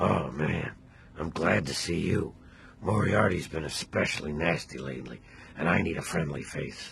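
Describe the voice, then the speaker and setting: Against clear background noise, a man puts on a raspy character voice, very deep and low in pitch, at a moderate pace. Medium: video game. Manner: meek, apologetic.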